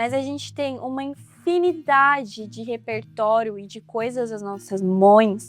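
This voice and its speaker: The woman's pitch is fairly high and swings very widely, and her loudness shifts a lot. She talks at a fairly slow pace with hardly any pauses. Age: 20s. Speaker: vlogger, exchange student. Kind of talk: vlog monologue. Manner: casual, self-correcting.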